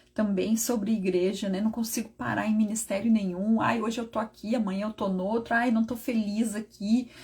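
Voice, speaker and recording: At a moderate pace, a somewhat breathy voice is heard. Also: woman. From southern Brazil, Rio Grande do Sul. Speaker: preacher leading online prayer. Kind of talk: sermon. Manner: animated.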